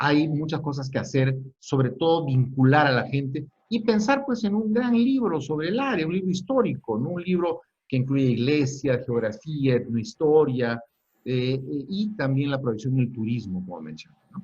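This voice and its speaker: A man talks at a moderate pace in a fairly high, somewhat breathy voice, his intonation lively. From Peru, Lima. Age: 60s. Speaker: historian. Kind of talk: lecture. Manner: halting.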